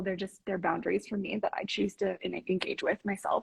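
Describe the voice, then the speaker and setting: A woman talks at a medium pitch with vocal fry. Her pitch varies in an ordinary way. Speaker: relationship coach. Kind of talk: interview conversation. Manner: fast.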